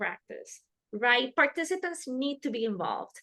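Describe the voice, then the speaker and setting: A woman speaks with a Spanish accent in a high, bright and sharp voice, her pitch varying in an ordinary way. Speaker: harm reduction trainer. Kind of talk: webinar lecture.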